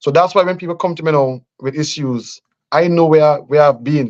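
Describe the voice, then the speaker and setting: A man with a Grenadian accent, fairly high-pitched, at a moderate pace with fairly even intonation. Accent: Grenadian Caribbean English. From Grenada. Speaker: politician. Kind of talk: radio interview. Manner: halting.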